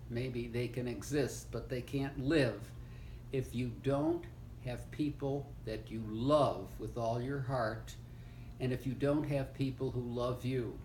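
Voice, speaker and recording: A man talks at a very slow pace, with audible echo from the room. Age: 80s+. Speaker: retired law professor. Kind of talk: family oral history interview. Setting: seated interview with grandchild. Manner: halting, with fillers.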